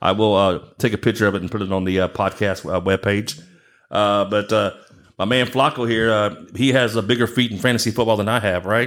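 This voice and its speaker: A man with an American accent has an ordinary speaking voice. His pitch is fairly low and his intonation fairly even. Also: fairly quick pace. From Galveston Island, Texas. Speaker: podcast host. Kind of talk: casual chat.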